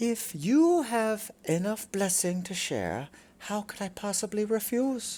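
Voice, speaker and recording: Using a put-on character voice, a female-sounding speaker at a medium pitch goes at a fairly slow pace. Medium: read story. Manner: purring, coy.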